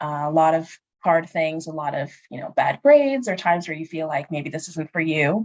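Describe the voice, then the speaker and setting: A woman's very deep, low voice, fairly quick and with ordinary pitch movement, big swings in loudness, and a dry, close sound free of echo. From Northern Virginia, US. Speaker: space engineer. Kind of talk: career Q&A conversation.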